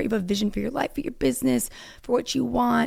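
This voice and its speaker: A woman's voice swings very widely in pitch. It has vocal fry throughout. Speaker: podcast host. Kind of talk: casual monologue. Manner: chatty, filler-heavy.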